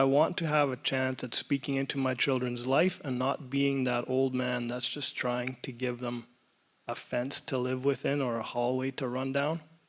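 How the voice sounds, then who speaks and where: At a moderate pace, a man talks at medium pitch in a monotone, flat way. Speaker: church panelist, father. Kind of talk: panel discussion. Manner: loud.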